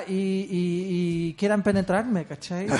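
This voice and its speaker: In a Chilean accent, a man with a high, dark and mellow voice speaks fairly slowly. The intonation is fairly even. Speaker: podcast co-host. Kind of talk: casual chat. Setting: studio.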